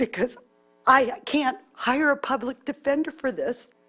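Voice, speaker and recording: At a fairly slow pace, a woman speaks in a high pitch with ordinary pitch variation. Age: 60s. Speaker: public commenter. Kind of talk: public testimony.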